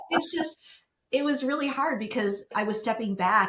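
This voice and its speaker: A woman talks at a fairly quick pace in a normal speaking voice, with lively intonation. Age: 60s. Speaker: business founder, professional organizer. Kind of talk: podcast interview.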